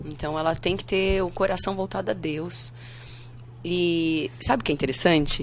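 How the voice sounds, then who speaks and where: A woman's very deep, low voice with vocal fry and ordinary pitch variation. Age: 30s. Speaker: pastor. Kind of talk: casual interview.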